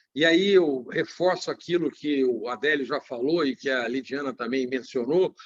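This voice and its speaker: An ordinary speaking voice from a man, fairly high in pitch, moderate in pace, with lively intonation and a dry, close sound with no echo. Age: 60s. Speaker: business owner. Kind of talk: panel talk in a livestream. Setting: online livestream.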